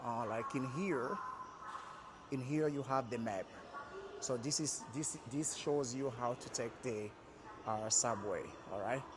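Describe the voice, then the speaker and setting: Over noticeable background noise, a man at medium pitch talks at a very slow pace. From Republic of Congo. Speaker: vlogger. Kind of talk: travel vlog tutorial. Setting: metro station, walking. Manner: hesitant, many fillers.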